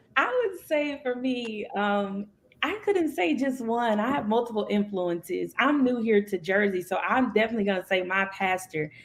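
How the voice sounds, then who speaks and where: A woman with an American accent at a moderate pace, with lively intonation, very even loudness and hardly any pauses, over noticeable background noise. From Indiana, US Midwest. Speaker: minister, preacher. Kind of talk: panel discussion. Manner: halting, many fillers.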